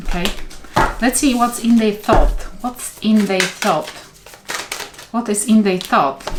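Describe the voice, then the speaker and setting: A woman with a non-native accent at a very slow pace, lively intonation, and noticeable background noise. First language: not English. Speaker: tarot reader. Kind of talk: tarot reading. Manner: halting.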